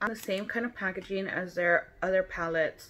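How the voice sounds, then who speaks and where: Light background noise sits under a woman talking at a moderate pace with ordinary pitch variation. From Texas. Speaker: beauty vlogger. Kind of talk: casual chat. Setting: at home. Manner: animated. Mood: chatty, relaxed. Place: home room. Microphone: phone near.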